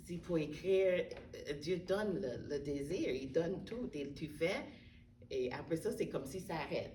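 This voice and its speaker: A woman with an English accent speaks at a fairly low pitch. Her pace is fairly slow, and room echo is audible. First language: English (speaking French). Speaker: interviewee, widow and book contributor. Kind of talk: interview testimony. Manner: halting, with repetitions.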